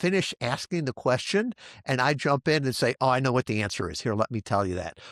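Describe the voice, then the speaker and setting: A man with a normal speaking voice talks at a medium pitch with lively intonation. The recording is very clean, with a silent background and a dry, close sound with no echo. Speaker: podcast host. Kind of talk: interview conversation.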